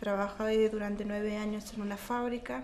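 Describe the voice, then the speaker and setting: Against light background noise, a woman speaks at a fairly high pitch with fairly even intonation. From Argentina. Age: 40s. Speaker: mother and caregiver of a terminally ill child. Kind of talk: interview testimony. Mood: serious, emotional. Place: home room.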